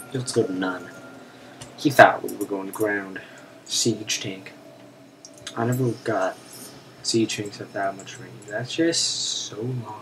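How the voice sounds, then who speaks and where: At a very slow pace with long, frequent pauses, a man speaks at a medium pitch with ordinary pitch variation and big swings in loudness over noticeable background noise. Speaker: gaming commentator. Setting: recorded while playing a game on a Mac. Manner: casual, rambling, filler-heavy with frequent ums.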